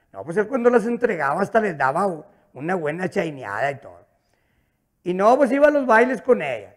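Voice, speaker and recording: A man with a high pitch talks at a fairly quick pace in an animated, playful tone, with very wide pitch swings, big swings in loudness and long, frequent pauses. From northern Mexico. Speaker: stand-up comedian. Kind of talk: stand-up comedy, rural joke-telling with an audience. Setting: stage with audience. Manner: animated, rapid-fire storyteller who acts out dialogue with 'dijo' repetition; colloquial, with stutters and repeated words, coarse and playful. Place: studio. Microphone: handheld.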